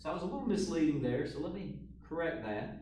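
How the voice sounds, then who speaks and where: A man's voice at a moderate pace, with very wide pitch swings and audible room echo. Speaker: math teacher. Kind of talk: tutorial. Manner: casual.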